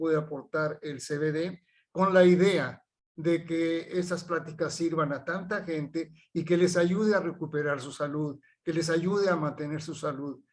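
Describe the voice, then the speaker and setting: A man with a high pitch talks at a moderate pace with fairly even intonation. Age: 70s. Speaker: chemical engineer and researcher. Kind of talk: health talk. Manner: halting.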